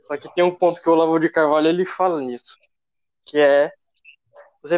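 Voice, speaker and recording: A high-pitched man is heard in a dry, close recording with no echo. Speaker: geography student. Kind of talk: casual chat. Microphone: too quiet.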